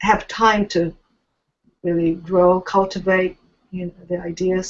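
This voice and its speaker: Speaking with an American accent, a woman uses a medium pitch. Her pace is fairly slow. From Japan, raised in Tokyo. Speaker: writer. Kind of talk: interview. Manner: halting, many fillers.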